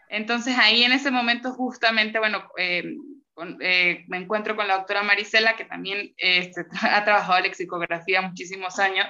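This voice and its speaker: A woman speaks at a fairly quick pace in a Venezuelan accent. Her medium-pitched voice has a bright, sharp tone and fairly even intonation. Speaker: graduate student, linguist. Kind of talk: casual interview chat.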